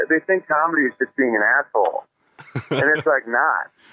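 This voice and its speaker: An American accent marks this man's plain, everyday voice. He talks at a fairly quick pace with lively intonation. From upstate New York. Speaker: stand-up comedian. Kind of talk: casual chat. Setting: phone call.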